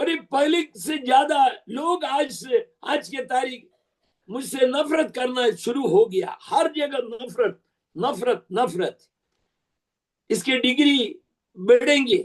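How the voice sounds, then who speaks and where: A man's extremely high voice with lively intonation and long, frequent pauses. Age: 70s. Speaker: preacher. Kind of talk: sermon.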